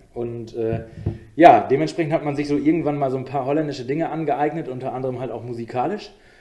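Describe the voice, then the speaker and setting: A man's fairly high-pitched voice at a very fast pace, with fairly even intonation and big swings in loudness. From Osnabrück, northern Germany. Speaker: DJ. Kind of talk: casual chat.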